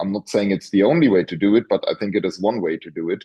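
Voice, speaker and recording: With a German accent, a man talks in a fairly low pitch. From Germany. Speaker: professor. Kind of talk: interview. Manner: halting, many repetitions.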